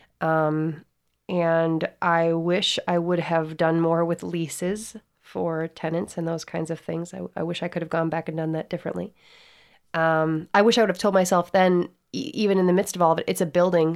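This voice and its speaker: At a moderate pace, a woman with an unremarkable speaking voice talks at a fairly low pitch in a very clean recording with a silent background. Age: 30s. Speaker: singer-songwriter and restaurant owner. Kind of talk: casual interview.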